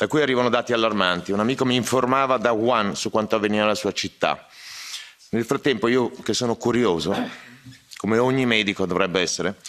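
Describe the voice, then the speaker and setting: Amid noticeable background noise, a man talks very fast with very even loudness and ordinary pitch variation, leaving long, frequent pauses. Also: medium pitch for a man. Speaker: doctor. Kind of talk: conference speech.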